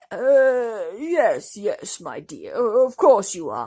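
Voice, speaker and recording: A female-sounding put-on character voice, fairly high in pitch, at a very slow pace. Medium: read story. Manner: warm, fatherly.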